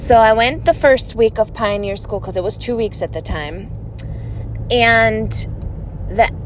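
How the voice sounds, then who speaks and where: A woman with a European accent speaks with long, frequent pauses over noticeable background noise. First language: non-English European language. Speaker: ex-Jehovah's Witness video creator. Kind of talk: personal storytelling monologue. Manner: casual, conversational.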